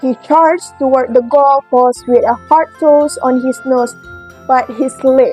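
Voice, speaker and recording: With music in the background, a woman with an Indonesian accent speaks at a high pitch. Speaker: former kindergarten teacher. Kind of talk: children's story reading.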